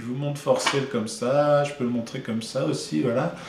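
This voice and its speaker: Noticeable background noise and audible room echo surround a man speaking at a moderate pace in a medium pitch with ordinary pitch variation. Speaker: board game publisher. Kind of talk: casual video presentation. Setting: office. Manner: hesitant, many fillers.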